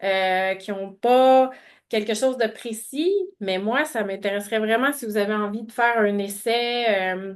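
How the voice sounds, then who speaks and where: A woman speaks with a Quebec accent at a fairly high pitch. Her pitch varies in an ordinary way over a quiet background. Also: fairly slow pace. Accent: Québécois French. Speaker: webinar presenter. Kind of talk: webinar presentation with Q&A. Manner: halting, many fillers and repetitions.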